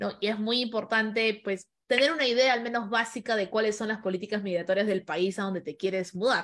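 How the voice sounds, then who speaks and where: A woman with a normal speaking voice talks at a fairly quick pace and fairly high pitch, hardly pausing, her pitch varying in an ordinary way. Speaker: podcast host and event moderator. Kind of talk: online panel moderation. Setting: video call.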